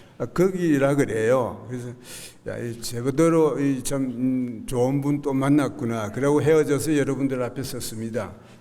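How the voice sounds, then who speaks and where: With audible room echo around him, a man speaks at a moderate pace and medium pitch, his intonation fairly even. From South Korea, Gyeongnam (Haman county). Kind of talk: church testimony. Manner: halting, many fillers.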